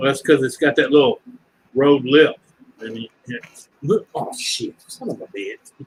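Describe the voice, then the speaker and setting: With a Louisiana accent, a man speaks at a fairly slow pace. He leaves long, frequent pauses, and his loudness swings widely. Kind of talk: casual chat.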